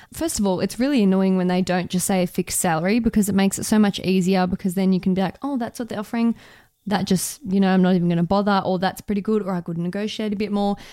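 On a very clean recording with a silent background, a woman with an Australian accent talks very fast in a medium pitch, her tone dark and mellow and her intonation fairly even. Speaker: radio journalist, podcast co-host. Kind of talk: casual advice chat.

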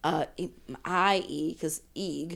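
Heard on a very clean recording with a silent background, the speaker has a New Orleans accent. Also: woman. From New Orleans, 7th Ward. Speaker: writer. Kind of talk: casual chat.

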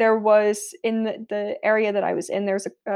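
Against a quiet background, an unremarkable speaking voice with an American accent moves at a moderate pace. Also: woman. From US South, South Florida. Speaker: anthropologist. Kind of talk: interview.

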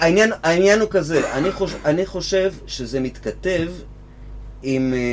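The man talks fairly slowly. Background noise is noticeable throughout. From Israel, Givatayim. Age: 50s. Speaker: guitar teacher and musician. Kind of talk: casual chat.

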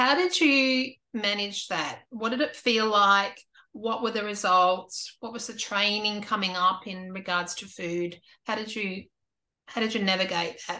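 A woman with an Australian accent and a bright, sharp tone speaks at a fairly slow pace, her medium pitch showing ordinary variation over a quiet background. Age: 50s. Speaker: YouTube interviewer. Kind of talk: interview.

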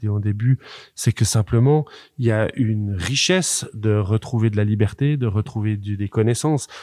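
A man with a dark, mellow tone and medium pitch speaks with ordinary pitch variation in a very clean recording with a silent background. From French-speaking Switzerland. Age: 40s. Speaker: farmer and agronomist. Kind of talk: casual discussion.

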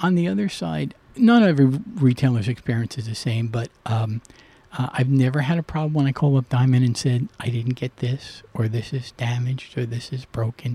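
A somewhat breathy man with a dark, mellow tone, at a moderate pace and with ordinary pitch variation, in a dry, close sound with no echo. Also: medium pitch for a man. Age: 60s. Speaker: comic shop owner. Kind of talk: casual interview chat.

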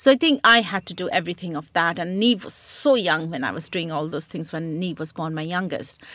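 Bright and sharp, a woman's fairly low-pitched voice moves at a fairly quick pace with hardly any pauses, lively intonation and big swings in loudness. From India (West Bengal, Punjabi family). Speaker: chef and food writer. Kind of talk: casual interview chat.

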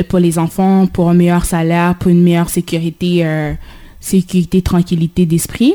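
A woman talks at a fairly slow pace with a medium pitch. Her tone is dark and mellow. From Haiti. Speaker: community radio host. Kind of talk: radio discussion. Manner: halting.

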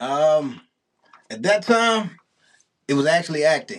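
A man with an American accent talks in a plain, everyday voice, at a medium pitch and a moderate pace. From East St. Louis, Illinois. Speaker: rapper and actor. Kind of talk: casual interview. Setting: studio.

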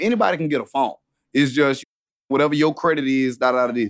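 A man at a fairly quick pace, the sound dry and close with no echo. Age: 30s. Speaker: guest, father. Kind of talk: casual conversation.

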